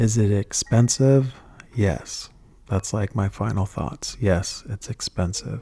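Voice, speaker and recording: A soft-spoken man, fairly low in pitch with ordinary pitch variation, at a very slow pace in a dry, close sound with no echo. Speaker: fragrance reviewer. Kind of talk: ASMR product review.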